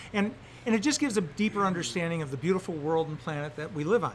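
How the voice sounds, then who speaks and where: In an American accent, a man speaks with a high pitch and lively intonation. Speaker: science teacher. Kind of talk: interview.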